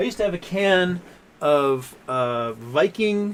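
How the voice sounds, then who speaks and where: Using lively intonation, a man speaks at a high pitch. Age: 40s. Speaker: livestream host, stock market commentator. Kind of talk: live stream chat reading viewer comments. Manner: casual, rambling.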